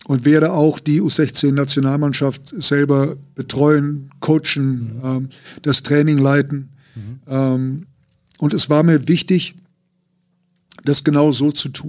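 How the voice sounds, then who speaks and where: A man at a very slow pace, with fairly high pitch, monotone, flat intonation and long, frequent pauses. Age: 60s. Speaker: basketball coach. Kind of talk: interview.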